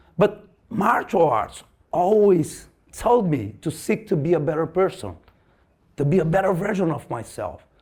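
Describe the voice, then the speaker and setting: A man with a Portuguese accent speaks at a high pitch for a man. His intonation is lively and his pace moderate. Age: 50s. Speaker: martial arts teacher. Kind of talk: lecture. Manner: halting, repeats words.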